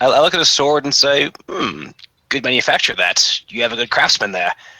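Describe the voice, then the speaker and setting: Using a put-on character voice, a man at medium pitch speaks at a fairly quick pace with a raspy sound. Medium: actual play.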